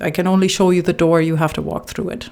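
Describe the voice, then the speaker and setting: A woman with a non-native accent speaks at a fairly low pitch. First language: not English. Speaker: relationship coach. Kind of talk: reading aloud with personal commentary.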